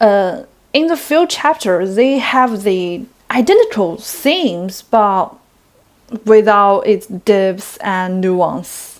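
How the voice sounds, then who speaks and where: A woman's medium-pitched voice with a non-native accent, very slow and lively in intonation. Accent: non-native English speaker. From China. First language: Chinese. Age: 20s. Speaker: book reviewer. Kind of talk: book review vlog.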